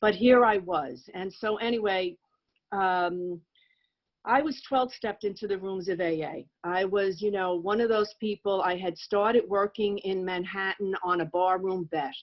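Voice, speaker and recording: Using a plain, everyday voice, a woman with an American accent speaks fairly slowly at medium pitch with ordinary pitch variation. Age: 60s. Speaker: recovering alcoholic speaker. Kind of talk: testimony.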